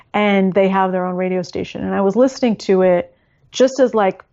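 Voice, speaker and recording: At a fairly quick pace, a woman with an ordinary speaking voice talks at medium pitch with an American accent. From California. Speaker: language learning author. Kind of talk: interview.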